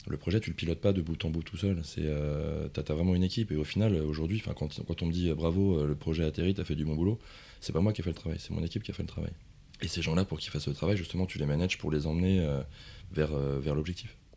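A dark, mellow tone moves at a very fast pace with fairly even intonation. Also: man, very deep, low pitch for a man. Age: 40s. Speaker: project management consultant. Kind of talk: interview.

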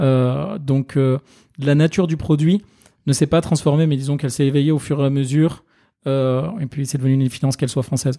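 Speaking fairly quickly, the man has a fairly high voice with a dark, mellow tone and fairly even intonation. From France, Ardèche. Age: 30s. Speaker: nurse and software entrepreneur. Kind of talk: interview.

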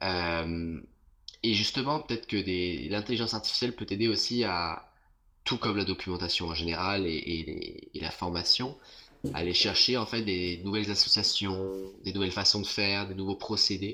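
Speaking at a moderate pace with long, frequent pauses, a man uses a fairly low pitch, ordinary pitch variation and a bright, sharp tone. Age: 30s. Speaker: influencer and cocktail content creator. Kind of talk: casual interview. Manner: hesitant, many fillers.

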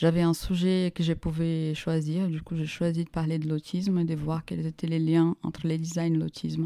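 A woman with a Portuguese accent speaks at a moderate pace with hardly any pauses, her voice fairly low in pitch with a dark, mellow tone. Her intonation stays flat and monotone, and the sound is dry and close with no echo. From Brazil. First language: Portuguese (speaking French). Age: 30s. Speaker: startup co-founder. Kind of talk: interview.

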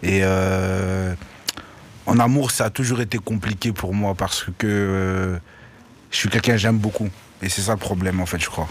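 A man with a very deep, low pitch, fairly even intonation and a fairly slow pace, broken by long, frequent pauses, amid noticeable background noise. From Brussels, Belgium. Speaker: rapper. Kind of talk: casual chat. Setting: radio studio.

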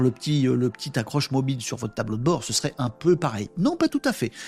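An animated, somewhat breathy man at a fairly quick pace. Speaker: livestream host. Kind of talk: casual live chat with viewers. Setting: live stream with chat comments. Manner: animated, informal.

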